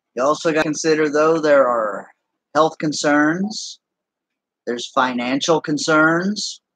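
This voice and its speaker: Pitch variation is ordinary. The pace is fairly slow. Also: man, fairly high pitch for a man. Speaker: gaming YouTuber. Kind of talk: casual gameplay commentary. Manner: casual, conversational.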